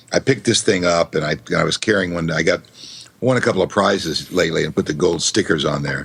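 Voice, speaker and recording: A man speaks very fast in a very deep, low voice, with ordinary pitch variation. Noticeable background noise runs under the recording. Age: 60s. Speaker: voiceover artist and author. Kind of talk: interview. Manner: halting.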